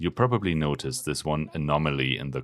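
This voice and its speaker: A man with a German accent speaks at a fairly quick pace with lively intonation. The recording is very clean, with a silent background. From Germany. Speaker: pharmacist and video essayist. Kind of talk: video essay narration; casual talk to camera.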